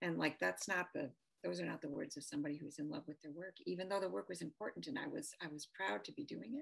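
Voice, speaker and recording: A woman with a Midwestern US accent talks at a very fast pace. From US Midwest, Detroit. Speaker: policy advisor. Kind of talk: interview. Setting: video call. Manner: soft-spoken.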